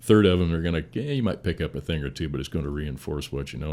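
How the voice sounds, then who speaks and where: Talking very fast, a man with a very deep, low voice and vocal fry uses ordinary pitch variation. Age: 60s. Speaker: firefighter, battalion chief. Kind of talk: casual interview conversation.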